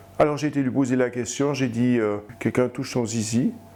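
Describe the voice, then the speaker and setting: The voice belongs to a man. Its pitch rises and falls an ordinary amount. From Switzerland, Fribourg. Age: 60s. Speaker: abuse survivor, retired librarian. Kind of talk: testimony. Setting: interview. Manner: halting, with hesitations and repetitions.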